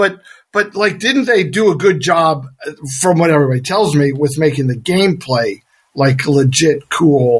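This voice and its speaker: Somewhat breathy, a man talks in a fairly high voice with lively intonation. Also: moderate pace. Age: 50s. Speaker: actor. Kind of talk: casual interview chat.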